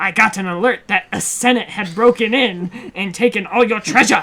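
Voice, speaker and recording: A woman doing a put-on character voice at a fairly high pitch. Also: moderate pace. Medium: read story.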